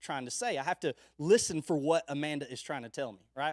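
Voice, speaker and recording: A man talks in a dry, close sound with no echo. The recording is very clean, with a silent background. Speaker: youth pastor. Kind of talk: sermon. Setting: live stream. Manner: loud.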